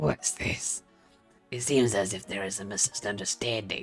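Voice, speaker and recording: A man's put-on character voice, fairly low in pitch, at a moderate pace, with faint music in the background. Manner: serious.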